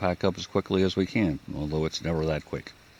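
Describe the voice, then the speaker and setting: A man's very deep, low voice with ordinary pitch variation, set against noticeable background noise. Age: 60s. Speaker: hiker vlogger. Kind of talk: casual trail vlog narration. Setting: outdoors on a hiking trail. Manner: halting, many fillers.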